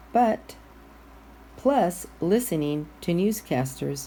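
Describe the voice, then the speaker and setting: This is a woman's voice. The room gives audible echo. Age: 60s. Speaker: guest minister. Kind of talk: sermon.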